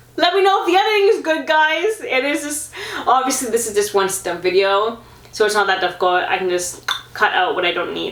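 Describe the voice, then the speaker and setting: A woman speaks fairly quickly over noticeable background noise and audible room echo. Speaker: vlogger, amateur marathon runner. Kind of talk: casual sit-down vlog talk. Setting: sitting at home filming herself. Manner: fast and garbled when excited.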